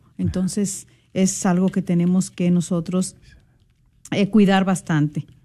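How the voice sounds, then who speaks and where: A woman speaks at a medium pitch and a fairly slow pace, her somewhat breathy voice dark and mellow in tone, with flat, monotone intonation and very even loudness. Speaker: radio co-host. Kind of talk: religious radio talk.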